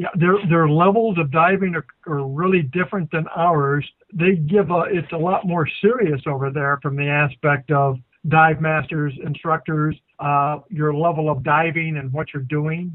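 Speaking at a moderate pace, a man has a plain, everyday voice at a fairly high pitch. His intonation stays fairly even. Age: 60s. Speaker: dive instructor and co-host. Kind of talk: casual chat.

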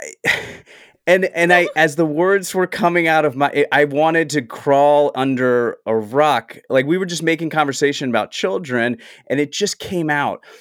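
This man has an ordinary speaking voice with an American accent, a fairly high pitch and ordinary pitch variation at a moderate pace. The recording is very clean with a silent background and a dry, close sound with no echo. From US South. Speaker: actor and writer. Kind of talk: casual chat.

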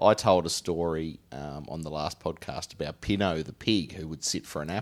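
A man with a Tasmanian accent, very deep and low-pitched, with ordinary pitch variation, big swings in loudness and a moderate pace. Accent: Tasmanian Australian. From Tasmania, Australia. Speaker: podcast host. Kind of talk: casual comedic chat.

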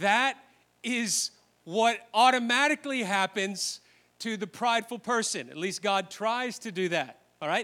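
A man with a bright, sharp tone talks at a fairly slow pace in a raised, projected voice, on a very clean recording with a silent background. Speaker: preacher. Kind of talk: sermon. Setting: church with live congregation. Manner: animated, emphatic preaching, directly addressing the congregation; conversational teaching, pausing to explain points.

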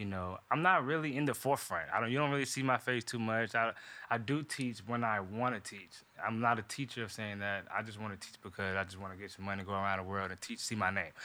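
At a very fast pace, a man speaks in a fairly low pitch with a bright, sharp tone. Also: ordinary pitch variation. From North Carolina, US South (Durham). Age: 20s. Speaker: professional dancer. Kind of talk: casual podcast interview.

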